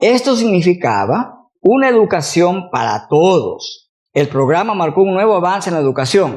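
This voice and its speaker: A man's high voice with lively intonation, at a moderate pace with hardly any pauses. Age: 60s. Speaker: university professor, teacher trainer. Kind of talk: lecture.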